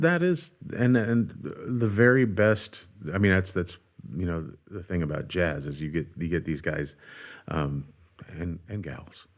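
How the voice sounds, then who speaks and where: Very deep and low in pitch, a man talks at a fairly slow pace with long, frequent pauses. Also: lively intonation, very clean recording, silent background. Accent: American. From Santa Monica, California. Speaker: bass player, session musician. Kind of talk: interview answer.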